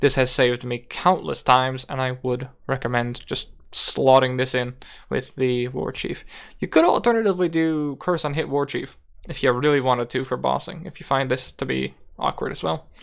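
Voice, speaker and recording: A man's ordinary speaking voice at medium pitch and a moderate pace, with ordinary pitch variation, in a very clean recording with a silent background. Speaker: video game guide creator. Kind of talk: gameplay tutorial. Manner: casual.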